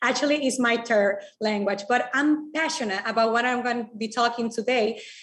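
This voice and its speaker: Fairly even intonation from a woman at a high pitch. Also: moderate pace. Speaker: digital marketing speaker. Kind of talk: presentation.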